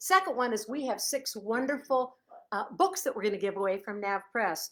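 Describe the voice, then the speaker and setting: An animated woman with an American accent talks at a moderate pace and a fairly high pitch. Her pitch swings very widely. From Chicago. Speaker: author. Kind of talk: casual live stream chat. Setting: Facebook live video at home.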